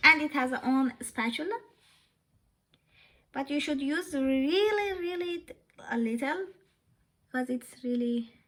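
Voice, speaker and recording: A bright, sharp voice with a non-native accent speaks with lively intonation at a fairly slow pace. Long, frequent pauses break up the speech. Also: woman, high pitch for a woman. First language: not English. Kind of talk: casual talk to camera. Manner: hesitant, many fillers.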